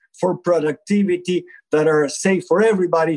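A man with a high pitch talks at a moderate pace, the sound dry and close with no echo. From Argentina. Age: 60s. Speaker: palliative and supportive care physician. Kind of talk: interview conversation.

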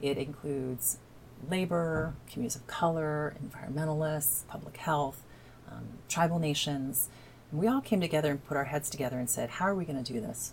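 A woman with an American accent and a very deep, low pitch talks at a fairly quick pace with ordinary pitch variation. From southern Indiana (Evansville). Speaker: climate initiative campaigner. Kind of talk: interview.

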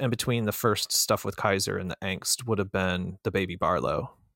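Over a very clean recording with a silent background, a man with an American accent and an unremarkable speaking voice talks at a moderate pace, fairly low in pitch with ordinary pitch variation, in a dry, close sound with no echo. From Florida. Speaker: knife designer. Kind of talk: casual chat.

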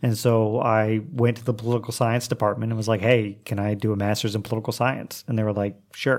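A man with an Oklahoma accent talks at a fairly quick pace in a medium pitch, his intonation flat and monotone, hardly pausing at all, on a very clean recording with a silent background. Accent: Oklahoma American English. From US, Oklahoma. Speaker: English teacher and writer. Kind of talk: casual chat.

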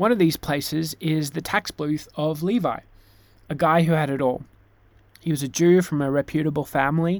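The recording is very clean, with a silent background. Pitch varies in an ordinary way, and the pace is moderate. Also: man, fairly high pitch for a man. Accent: Australian. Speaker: pastor. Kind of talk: sermon.

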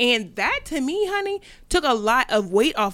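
Pitch swings very widely in a very clean recording with a silent background. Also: woman. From Delaware. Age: 20s. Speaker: entrepreneur. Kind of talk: casual chat.

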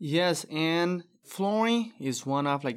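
A man with a Brazilian accent at a very slow pace, on a very clean recording with a silent background. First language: Portuguese. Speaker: flooring business owner. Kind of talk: casual interview.

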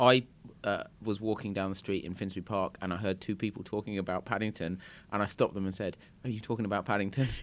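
Speaking very fast with a British accent, a man uses a fairly low pitch and fairly even intonation. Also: very clean recording, silent background. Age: 30s. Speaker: podcast host. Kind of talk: interview.

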